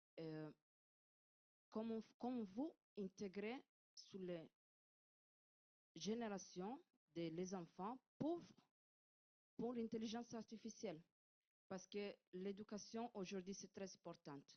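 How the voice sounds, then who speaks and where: A woman with an Italian accent speaks at a very slow pace with long, frequent pauses, her medium pitch varying in an ordinary way while her loudness swings widely. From Italy. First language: Italian (speaking French). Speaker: audience member asking a question. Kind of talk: audience question at conference. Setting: conference room. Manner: halting, searching for words.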